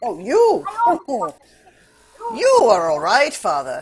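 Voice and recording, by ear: With very wide pitch swings around a medium pitch, a woman performs a put-on character voice at a very slow pace.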